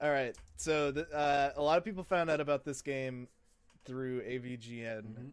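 A man with an American accent has an ordinary speaking voice, pitched fairly high, and speaks at a moderate pace with ordinary pitch variation. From US East Coast, southern part. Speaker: gaming podcast co-host. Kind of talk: casual chat.

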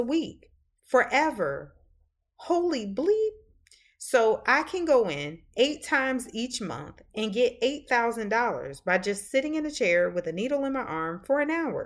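Talking at a fairly slow pace with a slight Southern US accent, a woman uses a high pitch and very wide pitch swings on a very clean recording with a silent background. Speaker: podcast host. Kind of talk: casual podcast chat with reading aloud.

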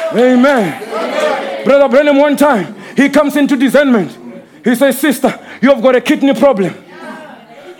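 Over crowd noise in the background, a man with an extremely high voice speaks in an animated tone at a moderate pace, with ordinary pitch variation and big swings in loudness. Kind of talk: sermon. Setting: church with live congregation. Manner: animated, call-and-response preaching, scolding the congregation with vivid imagery.

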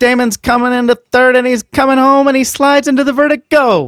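A man puts on a character voice. It is extremely high-pitched and moves at a fairly quick pace. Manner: fast, excited.

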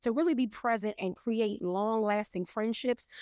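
With an unremarkable speaking voice, a woman talks fairly quickly at a fairly high pitch with ordinary pitch variation, her sound dry and close with no echo against a quiet background. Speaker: professional organizer and mental health professional. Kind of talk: casual chat.

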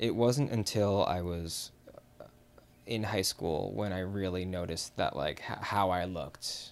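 A man with an American accent, a normal speaking voice, fairly low pitch, lively intonation and a fairly slow pace. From US Midwest, Chicago. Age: 30s. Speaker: podcast guest. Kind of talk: personal testimony.

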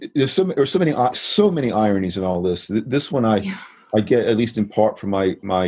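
A man with a fairly low pitch and a plain, everyday voice. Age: 60s. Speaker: economics professor. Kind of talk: interview.

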